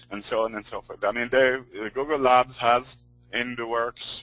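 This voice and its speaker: Against music in the background, a man with a strong non-native accent talks at a fairly slow pace in a medium pitch, his intonation monotone and flat and the sound dry and close with no echo. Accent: non-American accent, strong. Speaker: search engine optimization expert. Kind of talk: webinar teaching call. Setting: recorded conference call. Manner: hesitant, many fillers.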